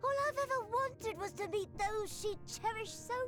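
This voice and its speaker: A put-on character voice delivers lines in a dramatic tone at a moderate pace, with clear music playing in the background. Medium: video game. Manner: excitable, dramatic.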